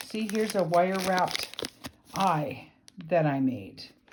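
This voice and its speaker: Her delivery is very slow. The intonation rises and falls in a lively way. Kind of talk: casual video tour. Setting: home craft room. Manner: rambling, hesitant with fillers.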